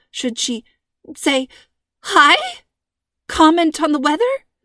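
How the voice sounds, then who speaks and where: Recorded dry and close with no echo, a woman speaks at a high pitch and a moderate pace. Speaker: author and audiobook narrator. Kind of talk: scripted narration of a young-adult mystery story, read aloud as an audiobook chapter. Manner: smooth, storyteller-like reading, varying tone for the characters' dialogue; warm and friendly in the intro and sign-off.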